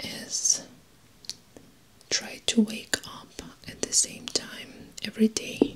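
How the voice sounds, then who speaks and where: Whispering at a very slow pace, the voice rises and falls sharply in loudness. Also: woman. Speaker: advice vlogger. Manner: very soft, close-mic ASMR voice. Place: home room.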